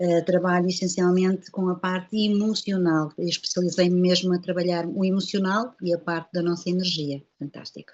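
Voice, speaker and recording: A woman talks at medium pitch with a European Portuguese accent, at a moderate pace with hardly any pauses. Her intonation is monotone and flat. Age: 50s. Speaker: holistic therapist. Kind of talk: interview.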